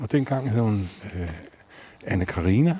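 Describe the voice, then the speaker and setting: The man's pitch rises and falls very widely. He talks fairly slowly. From Denmark, North Zealand (Allerød). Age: 50s. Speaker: bassist and psychotherapist. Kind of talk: casual chat. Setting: outdoors.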